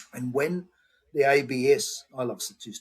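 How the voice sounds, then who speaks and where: A fairly high-pitched, somewhat breathy man's voice with an Australian accent. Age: 70s. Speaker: homeopath. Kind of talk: interview.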